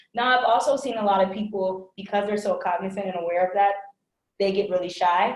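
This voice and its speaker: A woman talks at a very fast pace. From immigrant family in the US. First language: another language besides English. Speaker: workplace inclusion trainer. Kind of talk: webinar Q&A discussion. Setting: online webinar. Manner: casual, filler-heavy.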